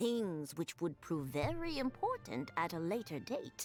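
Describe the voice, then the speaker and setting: A female-sounding, put-on character voice speaks at a fairly slow pace. Clear background noise runs underneath. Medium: video game. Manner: polite, formal.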